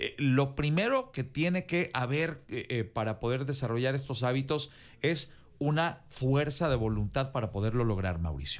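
At a moderate pace, a man speaks with lively intonation. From Mexico. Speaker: news anchor. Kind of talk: panel discussion. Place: studio. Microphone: studio mic.

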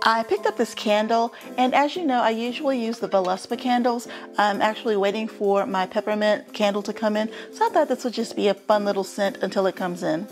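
Over clear background music, a woman talks at a very fast pace with ordinary pitch variation. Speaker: home decor vlogger. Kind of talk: casual haul vlog chat. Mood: cheerful. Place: home room. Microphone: lapel.

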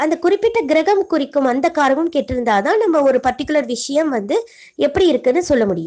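Her dark, mellow tone rides very wide pitch swings at a high pitch, while this woman keeps her loudness very even. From Tamil Nadu, Coimbatore. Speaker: astrologer, debate judge. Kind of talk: lecture.

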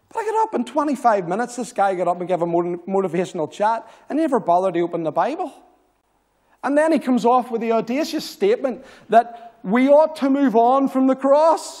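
Against a quiet background, a man with an extremely high pitch and a dark, mellow tone talks at a fairly quick pace with very wide pitch swings. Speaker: visiting preacher. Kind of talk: sermon with call-and-response. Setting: church. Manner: exhortational, rallying the congregation with 'say amen' prompts; earnest, passionate. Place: church.

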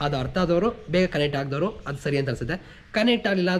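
A man speaks with very wide pitch swings. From rural Karnataka village. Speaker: YouTube reality show reviewer. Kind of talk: episode review monologue.

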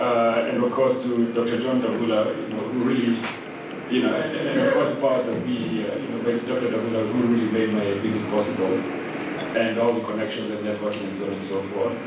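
A man talks at a fairly quick pace. Loud background noise and audible room echo fill the recording. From Kenya. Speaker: writer and literary scholar. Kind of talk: public panel conversation. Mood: relaxed, conversational. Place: hall.

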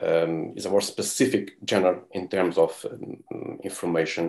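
Against a quiet background, a man speaks with a Portuguese accent. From Portugal. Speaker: documentary filmmaker; panelist. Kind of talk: panel discussion. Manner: halting. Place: home room. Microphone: earbuds.

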